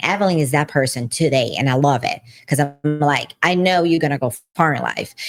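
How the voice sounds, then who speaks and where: The speaker talks with a Brazilian accent while music plays in the background. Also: woman. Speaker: podcast co-host, business owner. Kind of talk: casual chat. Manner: animated.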